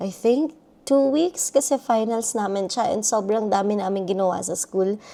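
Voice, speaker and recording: A woman with a dark, mellow tone and fairly high pitch talks at a moderate pace with lively intonation. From Philippines. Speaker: vlogger, international student. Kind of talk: personal vlog.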